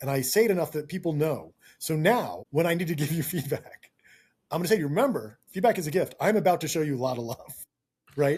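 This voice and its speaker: Fairly high in pitch, a man talks in an animated tone with lively intonation. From New York. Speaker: tech product management director. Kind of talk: casual interview chat. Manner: fast.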